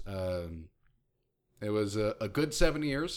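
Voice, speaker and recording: A man with a normal speaking voice and lively intonation at a fairly slow pace, on a very clean recording with a silent background. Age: 30s. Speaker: podcast host. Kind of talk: casual banter.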